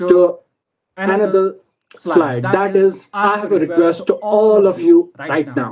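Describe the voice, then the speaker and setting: High in pitch, a man talks at a very slow pace with fairly even intonation and a dark, mellow tone. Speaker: communication skills trainer. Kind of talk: online training session. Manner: slow, with pauses.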